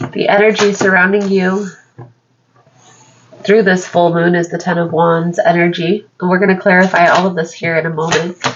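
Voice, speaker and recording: At a moderate pace, a woman speaks with a fairly low pitch and flat, monotone intonation. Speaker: tarot reader. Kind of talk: tarot reading.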